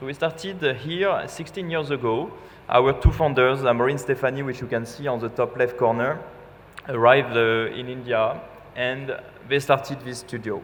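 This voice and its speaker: Noticeable background noise behind a man in a French accent, medium pitch, ordinary pitch variation and moderate pace. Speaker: architect, design firm representative. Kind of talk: conference talk. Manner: hesitant, with fillers.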